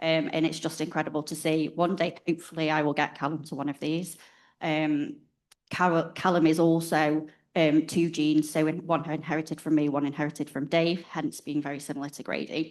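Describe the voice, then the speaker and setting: Against a quiet background, the speaker talks with a northwest England accent at a fairly quick pace in a monotone, flat intonation. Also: woman, very deep, low pitch for a woman. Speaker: parent of child with rare disease. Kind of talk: personal introduction at a conference.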